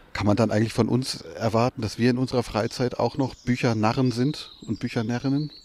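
Speaking at a fairly quick pace with hardly any pauses, a man holds a medium pitch in a monotone, flat intonation. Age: 40s. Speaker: literary radio editor. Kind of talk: literary discussion.

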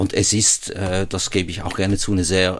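A man with a slight Swiss German accent speaks at a fairly low pitch. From Switzerland, Basel. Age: 60s. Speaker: airport chief executive. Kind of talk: radio interview. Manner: hesitant, frequent fillers.

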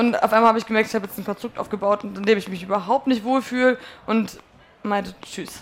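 A woman speaks in a normal speaking voice at a fairly quick pace, her fairly high pitch showing ordinary variation. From northern Germany (North Frisia). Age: 20s. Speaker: musician. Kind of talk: casual chat. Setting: stage with audience.

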